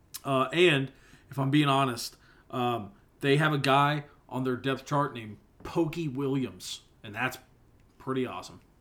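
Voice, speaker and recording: At a moderate pace and medium pitch, a man keeps his intonation fairly even while his loudness swings a lot and long pauses come often. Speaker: sports podcast co-host. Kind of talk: casual chat.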